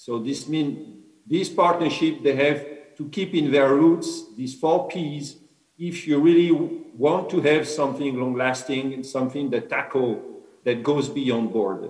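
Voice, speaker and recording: Against a quiet background with audible room echo, a man talks at a fairly high pitch. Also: ordinary pitch variation, fairly slow pace. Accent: French. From France. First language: French. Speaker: innovation director; speaker. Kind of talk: formal speech and panel discussion. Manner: halting. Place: home room. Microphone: video call.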